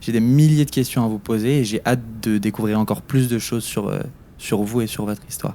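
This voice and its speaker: Speaking at a fairly quick pace, a man has a dark, mellow tone at medium pitch. The intonation is fairly even. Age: young, 19. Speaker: podcast interviewer, youth volunteer. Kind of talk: interview. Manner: stammering, false starts.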